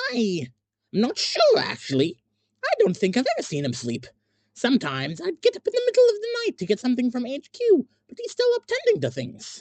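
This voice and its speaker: Someone uses a put-on character voice at a fairly quick pace. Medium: read story.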